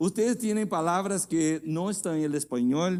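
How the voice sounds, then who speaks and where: Ordinary pitch variation in a Portuguese accent, on a very clean recording against a silent background. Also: man. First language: Portuguese (speaking Spanish). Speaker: guest pastor. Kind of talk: sermon. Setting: church. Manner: halting.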